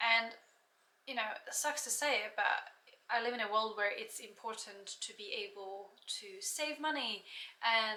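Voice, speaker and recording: Lively intonation and big swings in loudness come through with audible room echo. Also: woman. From Slovakia, near the Hungarian border. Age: 20s. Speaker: yoga teacher. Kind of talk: casual vlog chat. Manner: halting, with frequent fillers.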